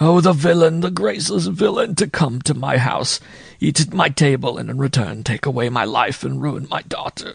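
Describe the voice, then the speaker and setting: This man's pitch is fairly high, and his intonation is lively. He talks at a moderate pace. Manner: muttered.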